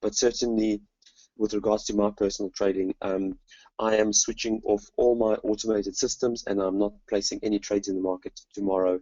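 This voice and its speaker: His pitch is fairly low and his intonation is monotone and flat. The man moves at a fairly quick pace. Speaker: trading software webinar presenter. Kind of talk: webinar product demo. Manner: halting, many fillers.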